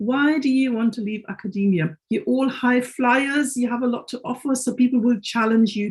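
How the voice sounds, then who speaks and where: In a German accent, a woman speaks at a moderate pace with lively intonation and a fairly high pitch. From Germany. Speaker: careers consultant. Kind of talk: webinar panel introduction.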